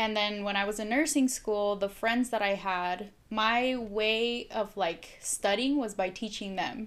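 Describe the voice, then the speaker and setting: A woman with a Spanish accent speaks fairly slowly at a fairly high pitch with fairly even intonation and hardly any pauses, on a very clean recording with a silent background. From Mexico. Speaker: nurse, guest. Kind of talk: casual chat, interview.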